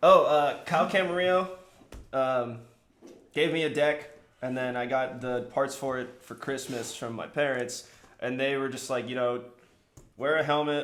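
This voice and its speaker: Speaking at a moderate pace with long, frequent pauses, a man with an American accent uses a medium pitch and fairly even intonation. Room echo is audible. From San Francisco Bay Area, US. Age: 20s. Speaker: pro skater and photographer. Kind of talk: casual chat.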